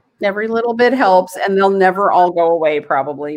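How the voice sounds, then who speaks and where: With a Midwestern US accent, the speaker talks at a moderate pace with lively intonation. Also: woman. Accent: US Midwest. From US Midwest, Illinois. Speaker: genealogy livestream host. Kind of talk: casual chat.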